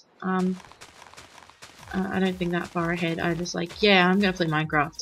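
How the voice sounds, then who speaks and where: Music plays in the background as a woman speaks in a fairly low pitch. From Australia. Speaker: gaming video creator. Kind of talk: casual gameplay commentary. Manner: rambling, hesitant with many ums.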